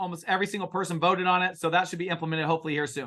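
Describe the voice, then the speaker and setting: A loud, animated man at a high pitch and a very fast pace. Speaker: real estate investment partner. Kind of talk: investor webinar Q&A. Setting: webinar.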